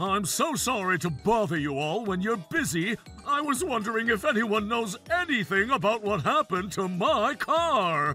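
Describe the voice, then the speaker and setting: A man uses a cartoonish character voice, pitched high, at a moderate pace with hardly any pauses. Music plays clearly in the background. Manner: courteous.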